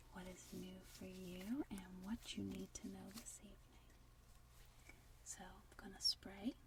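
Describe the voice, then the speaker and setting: Speaking softly at a fairly slow pace, a woman leaves long, frequent pauses while her loudness swings widely over noticeable background noise. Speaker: meditation guide. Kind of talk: ASMR role play intro. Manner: soft-spoken.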